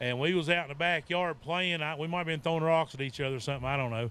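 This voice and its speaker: A man with an Appalachian accent, fairly high in pitch, with fairly even intonation and a dry sound with no echo. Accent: Appalachian Southern US. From Virginia (Appalachia). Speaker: author and Bigfoot researcher. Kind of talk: festival talk. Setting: outdoor festival with audience. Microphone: handheld.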